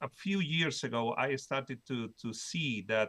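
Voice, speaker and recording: Over a quiet background, a man with a Spanish accent speaks at a fairly slow pace. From Spain. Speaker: professor. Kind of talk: conference presentation. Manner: halting, many fillers and repetitions.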